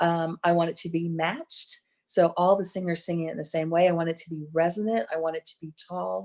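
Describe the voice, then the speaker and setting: A woman with an American accent speaks with hardly any pauses and fairly even intonation, though her loudness swings widely. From Texas. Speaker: barbershop singing judge and presenter. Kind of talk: online workshop lecture. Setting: virtual event. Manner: hesitant, many ums.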